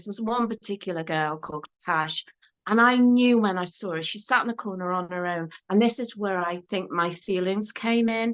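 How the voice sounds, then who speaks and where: Speaking with a Liverpool accent, a woman talks at a moderate pace and medium pitch with ordinary pitch variation over a quiet background. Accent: Scouse (Liverpool). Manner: conversational storyteller.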